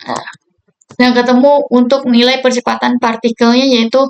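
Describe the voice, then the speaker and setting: A woman with a high voice speaks at a moderate pace in a flat monotone. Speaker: university student. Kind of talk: tutorial. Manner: casual.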